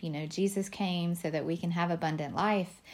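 In a very clean recording with a silent background, a woman with a Southern US accent speaks at a fairly low pitch in a monotone, flat intonation. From Alabama. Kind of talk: solo podcast monologue.

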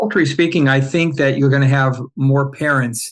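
Over a quiet background, a man with an American accent talks at a medium pitch. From Southern California, Orange County. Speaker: insurance company CEO. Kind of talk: casual chat.

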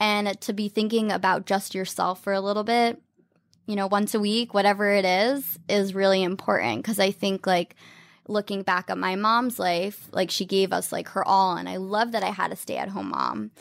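With an American accent, a woman uses an ordinary speaking voice at a moderate pace and with fairly even intonation. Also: medium pitch for a woman, very clean recording, silent background. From US South, Atlanta then New York from age eleven. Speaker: style blogger and influencer. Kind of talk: casual interview chat.

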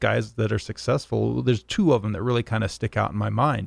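Here a man talks at a moderate pace. The background is quiet, and the sound is dry and close with no echo. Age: 40s. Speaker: owner-operator truck driver. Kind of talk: casual chat. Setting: studio.

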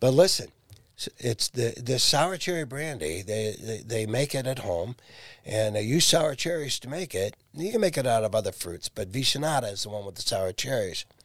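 A man with an ordinary speaking voice and medium pitch speaks with an American accent. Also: lively intonation, moderate pace. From Ohio, Massillon. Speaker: accordion player and lead singer. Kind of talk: casual chat.

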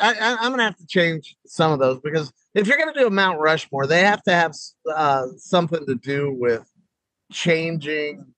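With a plain, everyday voice, a man speaks at a fairly high pitch, using lively intonation and big swings in loudness. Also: moderate pace. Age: 50s. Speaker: stand-up comedian. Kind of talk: casual chat. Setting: video call.

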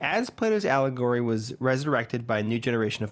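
This man has a normal speaking voice, medium in pitch, with lively intonation and a fairly quick pace. The recording is very clean, and the background is silent. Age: 20s. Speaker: podcast co-host. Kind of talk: casual chat; reading aloud.

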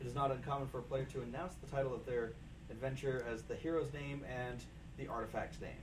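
A man talks very fast. Music is playing behind him. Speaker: board game player. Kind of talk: casual chat.

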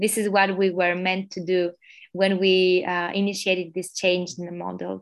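A woman with an Albanian accent speaks at a medium pitch in a monotone, flat intonation. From Albania (Tirana). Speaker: social entrepreneur, NGO founder. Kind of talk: interview.

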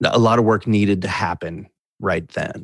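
A man with an American accent has a plain, everyday voice, fairly low in pitch with fairly even intonation. The recording is very clean, with a silent background. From US Midwest (Wisconsin). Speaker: musician in recovery. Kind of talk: interview testimony.

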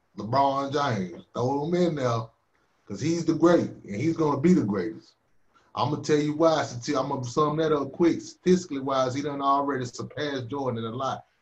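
A man's fairly high voice in an American accent, somewhat breathy, with ordinary pitch variation. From North Carolina, Winston-Salem. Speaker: hip hop artist. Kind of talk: casual chat.

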